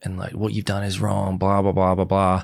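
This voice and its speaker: A man speaks with an Australian accent at a very deep, low pitch. The recording is very clean and the background silent. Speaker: reality TV contestant. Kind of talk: casual interview chat. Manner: soft-spoken.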